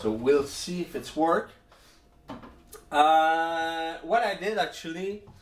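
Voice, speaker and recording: A man's high voice in a French accent, very slow pace, ordinary pitch variation and long, frequent pauses. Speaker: music producer, beatmaker. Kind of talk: tutorial. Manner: halting, many fillers.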